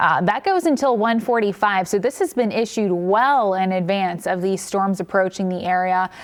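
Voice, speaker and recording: A woman talks at medium pitch and a moderate pace, with ordinary pitch variation and very even loudness. There are hardly any pauses, and noticeable background noise runs beneath her. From Cincinnati, Ohio. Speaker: meteorologist. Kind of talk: severe weather alert coverage.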